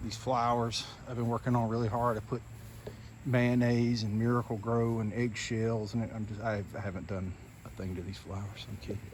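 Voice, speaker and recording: Speaking with a Southern US accent, a man keeps a moderate pace and fairly even intonation at a medium pitch. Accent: US South. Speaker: lawn care business owner. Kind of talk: casual vlog walkthrough. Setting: outdoors. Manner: whispering briefly.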